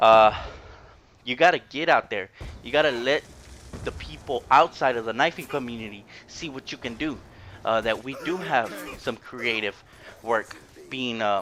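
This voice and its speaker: A man speaks with big swings in loudness and long, frequent pauses. Noticeable background noise runs under the recording. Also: medium pitch for a man, ordinary pitch variation, moderate pace. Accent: American. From Houston, Texas. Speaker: gaming YouTuber. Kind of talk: gameplay commentary.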